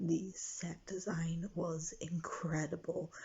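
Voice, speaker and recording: A quiet, somewhat breathy woman's voice, fairly low-pitched, with a monotone, flat intonation. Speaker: vlogger. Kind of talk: casual vlog. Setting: friend's house at night. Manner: hesitant with many fillers.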